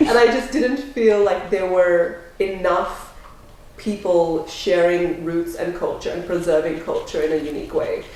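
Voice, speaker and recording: A woman with an Australian accent at a fairly slow pace, amid noticeable background noise and audible room echo. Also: medium pitch for a woman, ordinary pitch variation. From Australia, Melbourne. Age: young. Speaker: entrepreneur, former lawyer. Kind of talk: interview.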